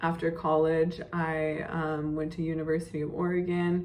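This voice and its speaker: A moderate pace with audible room echo. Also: woman. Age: 20s. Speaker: day trader and finance vlogger. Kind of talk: casual vlog monologue. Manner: hesitant, many fillers.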